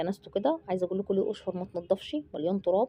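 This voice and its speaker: A woman speaks very fast in a dark, mellow tone. The sound is dry and close, with no echo. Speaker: family vlogger. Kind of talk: casual vlog chat. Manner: animated; lowered voice.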